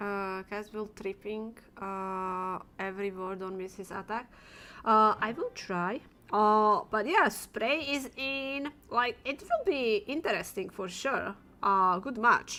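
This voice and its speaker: A woman's very slow voice, fairly high in pitch, with a bright, sharp tone. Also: ordinary pitch variation. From Slovakia. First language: Slovak. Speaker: esports co-caster and streamer. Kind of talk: live esports commentary.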